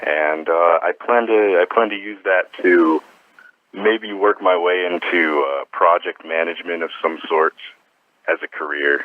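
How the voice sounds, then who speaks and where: In an American accent, a man speaks with a very deep, low pitch. His pace is fairly slow and his intonation fairly even. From US Southwest, Arizona, Glendale. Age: young. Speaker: college student. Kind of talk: interview.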